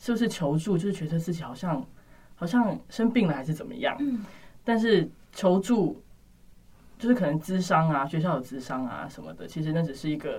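A woman with a fairly low pitch speaks at a moderate pace. Her voice is somewhat breathy, with lively intonation. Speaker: university student. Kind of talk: casual chat.

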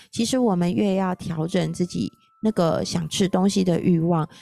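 In a very clean recording with a silent background, a woman of medium pitch speaks at a moderate pace in a dark, mellow tone. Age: 40s. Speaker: podcast host. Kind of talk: casual solo talk about a book on nutrition. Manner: animated.

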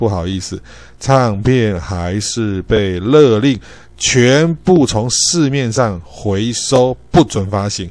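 Speaking very slowly with a Taiwanese accent, a man uses lively intonation at a medium pitch. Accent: Taiwanese Mandarin. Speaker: podcast host. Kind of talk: solo educational talk. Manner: frequent filler particles and self-corrections.

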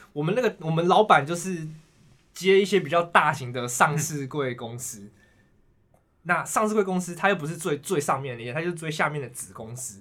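A man's fairly high, bright, sharp voice with a Taiwanese accent, lively intonation and a moderate pace. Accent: Taiwanese Mandarin. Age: 20s. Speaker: securities worker, finance expert. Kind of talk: casual chat.

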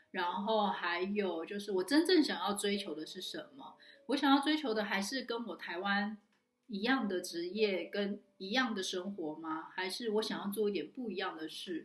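A woman's medium-pitched voice with lively intonation at a moderate pace, music in the background. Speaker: online community organizer and talk host. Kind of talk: solo recap talk to camera.

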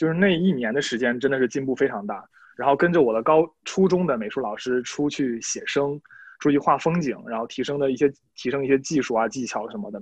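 Lively in intonation, a man with a normal speaking voice and fairly high pitch speaks at a fairly quick pace. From Shandong, northern China. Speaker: art student and painter. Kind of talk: casual chat. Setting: video call.

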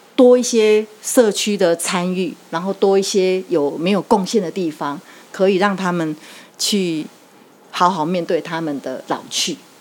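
A woman's ordinary speaking voice, medium in pitch, with ordinary pitch variation and a fairly slow pace. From Taiwan, Yilan. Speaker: neighborhood chief and lecturer. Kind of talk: interview.

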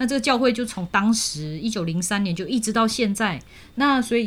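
A woman with a somewhat breathy voice talks fairly quickly, her intonation lively. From Malaysia. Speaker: university language teacher and radio host. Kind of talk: casual interview.

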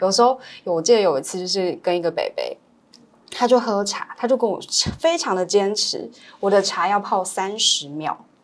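Lively in intonation, a woman speaks at a moderate pace and medium pitch in an unremarkable speaking voice. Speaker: elder care social worker. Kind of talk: casual interview chat.

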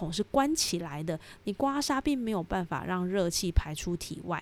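She has a plain, everyday voice at a medium pitch with lively intonation. The woman is on a very clean recording with a silent background. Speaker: podcast host, aromatherapy educator. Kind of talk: solo educational podcast. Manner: friendly, conversational.

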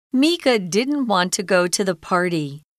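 Pitch swings very widely in this very slow speech, recorded with a dry, close sound and no echo. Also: woman. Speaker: narrator of lesson text. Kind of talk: reading aloud.

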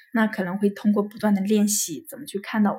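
Speaking at a fairly quick pace, a woman has a medium pitch, a dark, mellow tone, a somewhat breathy quality and fairly even intonation. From Hefei, Anhui, China. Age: 30s. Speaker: staff at a psychology counseling center. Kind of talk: interview sharing life story. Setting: recorded at a psychology center office. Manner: hesitant with many fillers.

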